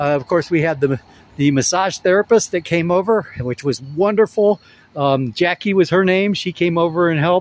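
Over light background noise, a man talks at a high pitch and a moderate pace with ordinary pitch variation. The sound is dry with no echo. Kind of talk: casual vlog chat. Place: open country. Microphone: phone near.

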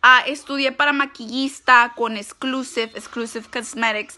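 A woman's fairly high, bright, sharp voice in a monotone with flat intonation. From US, California, Mexican-American (Michoacán parents). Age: 20s. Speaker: makeup vlogger. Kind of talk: makeup tutorial. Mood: brash, crude, playful. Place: home room. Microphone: phone near.

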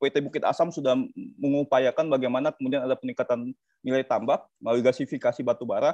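A man's very fast speech, dry with no echo, over a quiet background. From South Sumatra, Indonesia. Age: 30s. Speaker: energy law expert, lecturer; lecturer. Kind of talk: webinar panel presentation. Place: home room. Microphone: video call.

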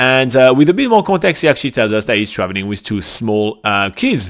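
A man speaks with very wide swings in pitch. The background is quiet. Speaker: travel vlogger host. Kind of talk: casual vlog chat answering viewer questions. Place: home room. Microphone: studio mic.

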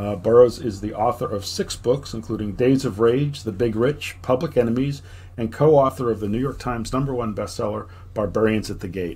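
A man speaks fairly quickly in a dark, mellow, somewhat breathy voice with ordinary pitch variation. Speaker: podcast host. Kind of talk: casual chat. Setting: video call. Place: home room.

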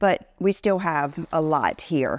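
A woman speaks with ordinary pitch variation. The sound is dry, with no echo. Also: quiet background. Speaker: fashion vlogger. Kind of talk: casual vlog chat. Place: office. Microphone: lapel.

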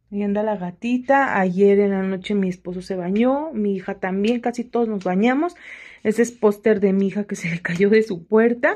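A woman with an unremarkable speaking voice, fairly high in pitch, at a fairly slow pace with ordinary pitch variation, over a quiet background. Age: 30s. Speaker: home vlogger. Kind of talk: casual vlog chat. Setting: at home. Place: home room. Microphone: phone near.

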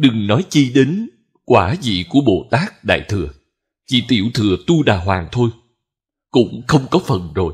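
A man speaks at a medium pitch and fairly slow pace, with long, frequent pauses. His voice is somewhat breathy, and his pitch swings very widely. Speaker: Buddhist monk teacher. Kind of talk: sermon.

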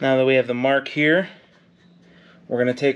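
The man's intonation is monotone and flat. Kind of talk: tutorial. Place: garage. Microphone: phone near.

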